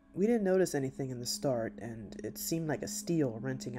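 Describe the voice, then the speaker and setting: A man speaks at a moderate pace while music plays in the background. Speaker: story narrator. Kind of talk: scripted storytelling narration.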